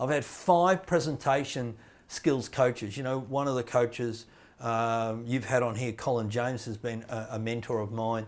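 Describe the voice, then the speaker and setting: The speaker keeps a moderate pace and ordinary pitch variation. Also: man, medium pitch for a man. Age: 60s. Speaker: motivational speaker. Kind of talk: casual chat. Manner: halting.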